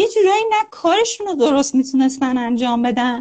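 A woman's voice at a moderate pace. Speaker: psychology teacher on Jungian archetypes. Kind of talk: live stream talk. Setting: video call live stream.

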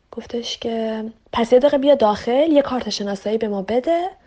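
In a dark, mellow tone, a woman talks at a fairly high pitch and fairly quick pace with lively intonation. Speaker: interviewee sharing a personal story. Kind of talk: casual storytelling.

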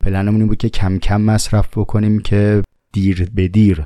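At a fairly quick pace, a man speaks at a fairly low pitch with a dark, mellow tone. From Tehran, Iran. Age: 30s. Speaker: podcast host. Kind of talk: casual monologue answering listener questions.

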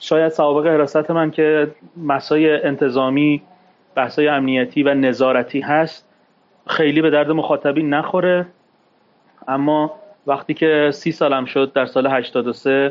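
Speaking at a fairly slow pace, a man with an ordinary speaking voice and a fairly high pitch keeps his intonation fairly even and his loudness very even. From Iran, Tehran (Shemiran). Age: 40s. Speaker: former stockbroker and capital market expert. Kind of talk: interview, personal testimony. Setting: studio.

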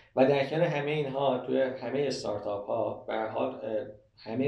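Fairly even intonation from a man, with audible room echo and noticeable background noise. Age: 30s. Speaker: sales manager. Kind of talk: interview.

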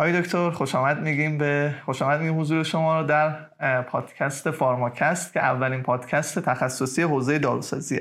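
A man speaks at a fairly quick pace in a plain, everyday voice. His pitch sits fairly high, and his intonation stays fairly even. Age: young. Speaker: podcast host. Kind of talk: podcast interview and intro.

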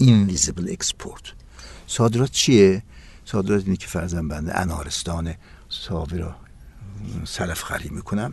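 At a moderate pace and a very deep, low pitch, a man talks with big swings in loudness, ordinary pitch variation, and long, frequent pauses. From Iran, East Azerbaijan (Ahar). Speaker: tourism professor. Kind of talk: interview. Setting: studio.

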